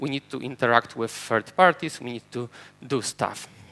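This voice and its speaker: A man with a Polish accent speaks at a fairly quick pace with ordinary pitch variation. His tone is bright and sharp, and the sound is dry and close with no echo. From Poland. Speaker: software engineer and conference speaker. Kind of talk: conference talk. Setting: stage with audience.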